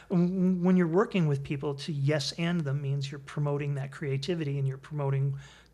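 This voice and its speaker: In a room with audible echo, a man with an American accent talks at a fairly quick pace with hardly any pauses, his fairly high, somewhat breathy voice dark and mellow in tone and his intonation fairly even. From Connecticut, US. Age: 60s. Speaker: improv comedian. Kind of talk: interview.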